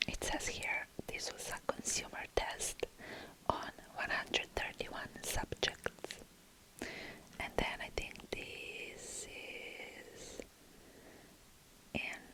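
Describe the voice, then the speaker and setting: A woman whispers very slowly, with long, frequent pauses, amid noticeable background noise. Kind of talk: ASMR whispering product review. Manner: whispered, soft.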